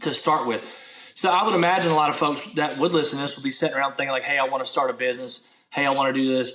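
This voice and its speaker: A man rattles along at a very fast pace with ordinary pitch variation while noticeable background noise plays underneath. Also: fairly high pitch for a man. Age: 30s. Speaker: minister, former military. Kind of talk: casual interview chat.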